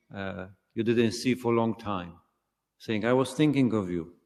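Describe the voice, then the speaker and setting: With a non-native accent, a man of medium pitch talks at a fairly slow pace with ordinary pitch variation. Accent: foreign. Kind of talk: sermon. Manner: halting, many fillers.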